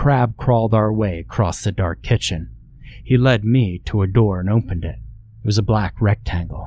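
With ordinary pitch variation, the text is being read aloud in a natural voice.

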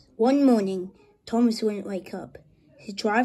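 Ordinary pitch variation marks this natural reading voice.

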